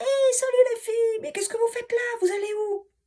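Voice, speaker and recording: A woman speaks at a fairly quick pace in a put-on character voice that is squeaky and extremely high-pitched. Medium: read story. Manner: mocking, familiar.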